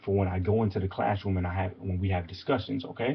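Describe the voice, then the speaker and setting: Talking at a very fast pace, a man with an American accent sounds somewhat breathy, his intonation fairly even. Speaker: motivational coach. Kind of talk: motivational talk.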